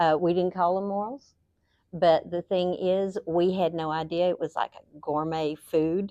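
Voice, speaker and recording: A woman with an Appalachian accent talks at a fairly low pitch in a dark, mellow tone. Her intonation stays fairly even, her pace is fairly slow, and her loudness swings widely. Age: 60s. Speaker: interviewee, local elder. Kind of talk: interview answers. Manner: casual, conversational.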